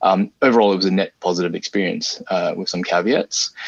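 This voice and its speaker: The speaker is a man. His accent is Australian. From Australia (arrived from Singapore at five). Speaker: game artist. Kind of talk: interview. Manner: halting, many fillers.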